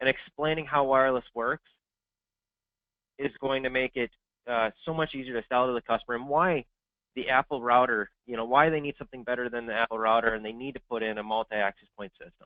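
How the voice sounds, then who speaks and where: A man talks at a very fast pace with fairly even intonation. His loudness swings a lot. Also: medium pitch for a man. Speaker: sales engineer presenting a webinar. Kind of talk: webinar presentation. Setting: online webinar.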